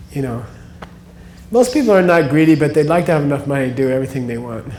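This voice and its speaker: In an American accent, a man with a fairly high pitch talks very fast with ordinary pitch variation, and the room echo is audible. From United States. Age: 60s. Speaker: spiritual teacher. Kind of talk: lecture. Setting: stage with audience. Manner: casual.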